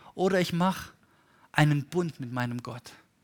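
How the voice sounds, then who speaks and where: On a very clean recording with a silent background and a dry, close sound with no echo, a man speaks at a moderate pace with very wide pitch swings. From Germany, Stuttgart. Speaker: pastor. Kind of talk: sermon.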